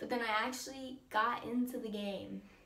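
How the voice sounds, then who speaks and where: A woman's voice sounds shaky. Room echo is audible around her. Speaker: vlogger. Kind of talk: story time vlog. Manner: casual, filler-heavy; shaky voice.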